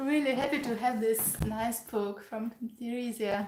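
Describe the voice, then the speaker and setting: Very slowly and with fairly even intonation, a woman speaks at a fairly high pitch over noticeable background noise. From Ukraine. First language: Ukrainian and Russian. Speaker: pianist and piano teacher. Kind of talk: casual live-stream Q&A.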